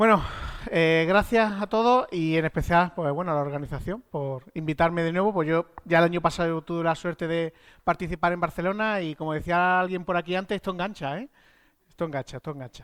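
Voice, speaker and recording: A man's high voice in an Andalusian accent, fairly quick with ordinary pitch variation, dry and close with no echo on a very clean recording with a silent background. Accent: Granada Andalusian. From Spain, Andalusia (Granada). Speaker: software architect at a tech consultancy. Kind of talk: conference talk. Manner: casual, animated.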